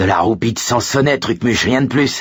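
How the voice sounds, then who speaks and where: A man puts on a growling character voice in a medium pitch. He keeps a moderate pace. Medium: read story. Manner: wisecracking.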